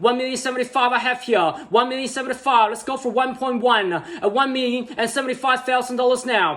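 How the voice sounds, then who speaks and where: Against noticeable background noise, a man speaks at a fairly quick pace with an extremely high pitch. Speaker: real estate auctioneer. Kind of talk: auction bidding call. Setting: online and room auction, taking bids. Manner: fast, rhythmic, patter.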